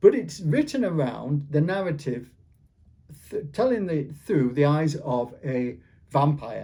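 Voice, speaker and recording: Somewhat breathy and fairly high, a man's dark, mellow voice moves with lively intonation. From Yorkshire, England. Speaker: author. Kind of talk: interview. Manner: halting, with repetitions.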